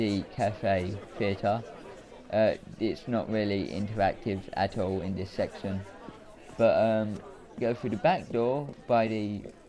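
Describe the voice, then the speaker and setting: A man mumbles at a very slow pace and a fairly low pitch, with ordinary pitch variation, long and frequent pauses, and crowd noise in the background. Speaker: gaming YouTuber. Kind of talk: gameplay commentary. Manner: mumbling.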